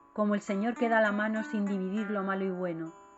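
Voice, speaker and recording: Over music in the background, a woman of medium pitch speaks at a moderate pace. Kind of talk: poetry reading.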